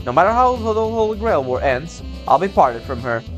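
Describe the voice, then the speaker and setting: Music plays in the background behind a man's voice. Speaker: let's play gamer. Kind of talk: gameplay commentary reading game text aloud.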